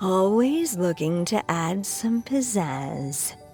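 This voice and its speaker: Over clear music in the background, a female-sounding put-on character voice with a warm tone and a medium pitch speaks at a very slow pace. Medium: video game. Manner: warm, wry, affectionate.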